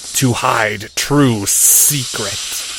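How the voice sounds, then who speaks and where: Over clear background noise, a man uses a growling, put-on character voice at a medium pitch. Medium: read story. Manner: hissing, terse broken speech.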